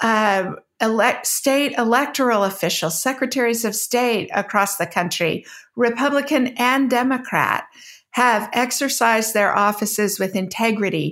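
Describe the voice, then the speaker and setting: A woman with a plain, everyday voice and a fairly high pitch speaks at a moderate pace, with ordinary pitch variation and very even loudness, in a very clean recording with a silent background. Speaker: debater and former government official. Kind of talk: moderated debate.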